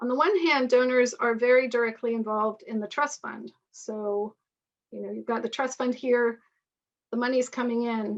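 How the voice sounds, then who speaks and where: A woman talks at a moderate pace and a high pitch, with fairly even intonation. Her loudness rises and falls in big swings. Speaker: author and lecturer on partnership structures. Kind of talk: webinar lecture with Q&A.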